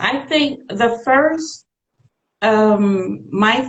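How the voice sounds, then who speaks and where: Lively in intonation, a woman speaks in a somewhat breathy voice. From Suriname, then the Netherlands from age 15. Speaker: boutique owner, entrepreneur. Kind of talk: interview.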